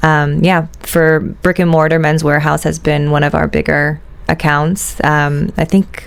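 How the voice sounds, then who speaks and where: A woman's very deep, low voice, monotone and flat, at a fairly slow pace and very even loudness. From USA. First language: Italian. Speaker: shoe company executive. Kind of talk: interview. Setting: studio. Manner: hesitant, many fillers.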